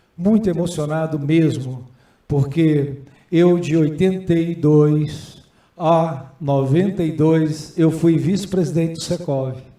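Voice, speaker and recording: Audible room echo carries a man's dark, mellow voice, fairly high in pitch, with fairly even intonation at a very slow pace. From Brazil, Goiás (city of Goiás). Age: 60s. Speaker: senate candidate and businessman. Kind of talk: candidate hearing speech.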